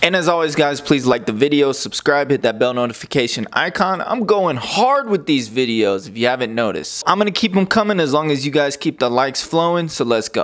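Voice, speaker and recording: At a very fast pace, a man speaks with hardly any pauses. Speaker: fitness trainer. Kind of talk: casual vlog tutorial. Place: kitchen. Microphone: lapel.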